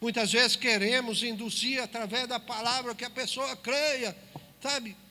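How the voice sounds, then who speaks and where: Over noticeable background noise, a man projects a raised voice at an extremely high pitch, with fairly even intonation and a fairly slow pace. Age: 60s. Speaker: preacher. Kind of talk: sermon. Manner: emphatic, addresses listeners directly.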